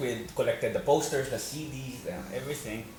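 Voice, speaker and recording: Talking at a fairly quick pace, a man with a Spanish accent and a fairly high pitch is heard over noticeable background noise and audible room echo. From Spain, Madrid. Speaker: actor and financial advisor. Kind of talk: interview.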